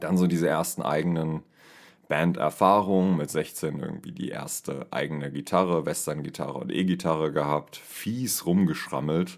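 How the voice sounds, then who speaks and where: A man's voice sits very deep and low as he talks at a moderate pace. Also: ordinary pitch variation. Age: 30s. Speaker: podcast host and amateur singer. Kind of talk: casual solo monologue.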